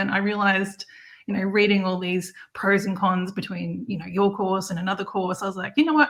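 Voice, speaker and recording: A woman speaks at a fairly quick pace. She has an Australian accent. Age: 40s. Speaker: campsite manager and online marketer. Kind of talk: interview.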